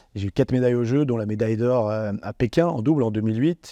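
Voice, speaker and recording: A man talks at a very fast pace in a dark, mellow tone with ordinary pitch variation. The sound is dry and close with no echo, against a quiet background. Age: 40s. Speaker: former paralympic athlete and entrepreneur. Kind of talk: interview testimony. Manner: hesitant, many fillers.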